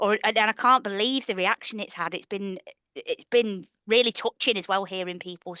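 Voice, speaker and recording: A woman with a northern English accent, a bright, sharp tone and medium pitch, ordinary pitch variation at a moderate pace, dry and close with no echo over a quiet background. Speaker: podcast co-host. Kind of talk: casual chat.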